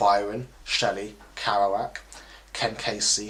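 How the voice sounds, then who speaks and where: A man talks with a fairly low pitch. Noticeable background noise is present. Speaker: spoken word poet. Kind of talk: spoken word poetry performance.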